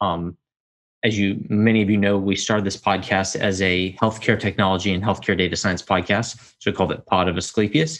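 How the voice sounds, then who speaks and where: Fairly low in pitch, a man speaks at a fairly quick pace with ordinary pitch variation and an unremarkable speaking voice. The background is quiet. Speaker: podcast host. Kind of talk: casual solo update. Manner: informal, filler-heavy.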